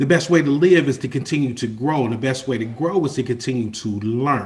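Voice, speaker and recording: A man speaks with ordinary pitch variation in a somewhat breathy voice. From Kentucky, Louisville. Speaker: life coach and chef. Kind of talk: webinar presentation. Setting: video call.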